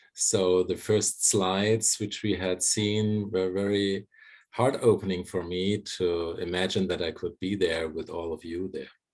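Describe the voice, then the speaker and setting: In a German accent, a man speaks with a very deep, low pitch, monotone, flat intonation, and a fairly slow pace. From Germany. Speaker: psychologist and bioenergetic therapist. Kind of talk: conversation.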